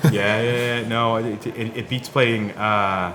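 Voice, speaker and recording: A man speaks in a Boston accent with monotone, flat intonation. Audible room echo and noticeable background noise come through. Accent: American Boston accent, kept. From US Northeast, Boston. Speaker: podcast host. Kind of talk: scripted intro narration; casual interview chat.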